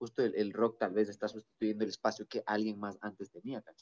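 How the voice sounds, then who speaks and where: At a fairly quick pace, a man with a fairly low pitch talks in a normal speaking voice, the sound dry and close with no echo. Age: 20s. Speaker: musician and podcaster. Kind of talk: casual chat. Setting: video call.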